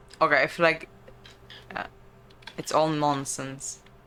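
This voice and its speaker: Amid noticeable background noise, a woman with a very deep, low pitch speaks at a fairly slow pace in a flat, monotone way. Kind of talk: casual let's play commentary.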